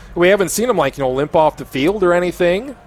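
A high-pitched man's voice over noticeable background noise. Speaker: radio play-by-play announcer. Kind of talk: live sports play-by-play commentary. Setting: stadium press box, radio broadcast.

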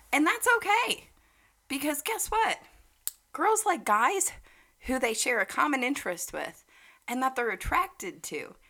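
The voice is raised and projected, with a bright, sharp tone and very wide pitch swings. It moves at a fairly slow pace with long, frequent pauses. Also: woman, high pitch for a woman. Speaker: podcast co-host. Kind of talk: casual chat.

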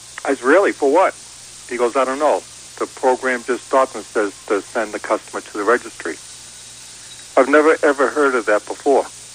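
Despite long, frequent pauses, a man keeps a fairly quick pace with ordinary pitch variation, amid noticeable background noise. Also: medium pitch for a man. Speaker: caller asking car question. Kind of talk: casual phone call.

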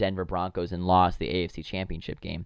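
This voice carries an American accent. It moves along fairly quickly. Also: man. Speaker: sports podcast host. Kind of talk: casual solo sports commentary. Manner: casual, filler-heavy.

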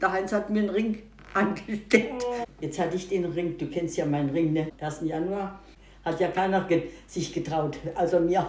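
Audible room echo surrounds a woman speaking at a moderate pace with a fairly low pitch and ordinary pitch variation. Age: 80s+. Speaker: grandmother. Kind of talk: casual interview. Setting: at home over breakfast. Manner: halting, repeats words.

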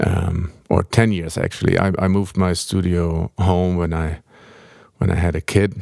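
With a German accent, a man speaks in a very deep, low pitch and a monotone, flat intonation. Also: moderate pace. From Germany, Hamburg. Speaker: film and game composer. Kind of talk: interview. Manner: halting.

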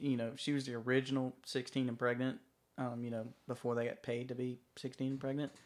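A man talks at a medium pitch in a monotone, flat intonation. The recording is very clean with a silent background. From Georgia. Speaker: navy veteran, country music fan. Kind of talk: casual chat.

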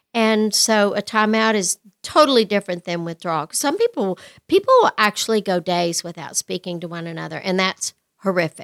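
In an American accent, a woman with a plain, everyday voice talks at a fairly quick pace with medium pitch, ordinary pitch variation and big swings in loudness, on a very clean recording with a silent background. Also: dry, close sound with no echo. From West Texas. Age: 60s. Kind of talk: casual interview chat.

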